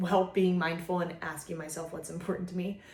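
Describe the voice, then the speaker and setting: A woman speaks at a medium pitch. Room echo is audible around her voice. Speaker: vlogger, mother. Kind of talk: casual monologue to camera. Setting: filming at home. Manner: casual, filler-heavy.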